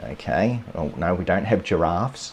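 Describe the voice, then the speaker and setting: A man's very deep, low voice in a strong Australian accent, fairly slow in pace, with noticeable background noise. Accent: broad Australian. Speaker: landscape photographer, photography YouTuber. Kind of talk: live stream commentary. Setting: live stream. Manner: casual, hesitant with repetitions.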